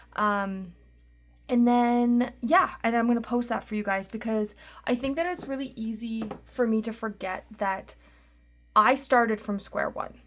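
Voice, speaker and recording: On a very clean recording with a silent background, a woman with a normal speaking voice talks at a fairly slow pace, her fairly high pitch showing ordinary variation. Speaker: budgeting YouTuber and podcaster. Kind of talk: casual vlog tutorial. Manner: chatty, filler-heavy.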